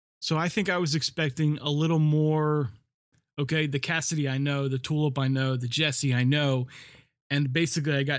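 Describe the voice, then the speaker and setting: A man with an American accent has an ordinary speaking voice at a fairly high pitch, with fairly even intonation. He keeps a moderate pace against a quiet background. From US East Coast, north. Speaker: podcast co-host. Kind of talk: casual chat.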